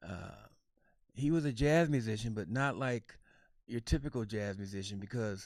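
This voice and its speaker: A man with an American accent speaks at a fairly slow pace with ordinary pitch variation, on a very clean recording with a silent background. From Kansas, US Midwest. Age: 60s. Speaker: jazz saxophonist and educator. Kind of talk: Q&A with children, casual talk. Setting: livestream. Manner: halting, many fillers.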